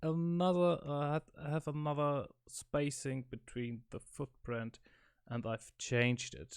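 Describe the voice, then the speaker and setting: Recorded very cleanly with a silent background, a man speaks very slowly in a German accent. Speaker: electronics hobbyist. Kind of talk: casual talk to camera, technical explanation. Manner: hesitant, many filler sounds.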